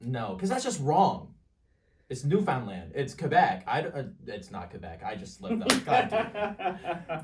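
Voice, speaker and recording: Over music in the background and audible room echo, a man with a slight Canadian accent speaks with big swings in loudness. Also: moderate pace. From Canada. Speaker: podcast guest. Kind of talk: casual chat.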